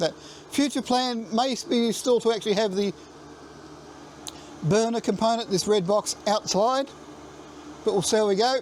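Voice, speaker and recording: A high-voiced man with an Australian accent, at a moderate pace with ordinary pitch variation, very even loudness and long, frequent pauses. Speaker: DIY and maker channel host. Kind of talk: casual video tour. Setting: in a shed, then outdoors. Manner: halting with fillers and repeats; loud, yelling over heater noise.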